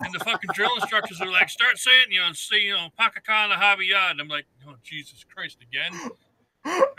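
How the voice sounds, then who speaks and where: A man with a slight Maine accent talks at a fairly quick pace, high-pitched for a man. His pitch varies in an ordinary way, with big swings in loudness. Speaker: military veteran. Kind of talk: casual chat.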